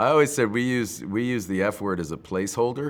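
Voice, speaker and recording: At a fairly quick pace, a man with a fairly low pitch speaks in a plain, everyday voice. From Boston. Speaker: actor. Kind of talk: interview answer.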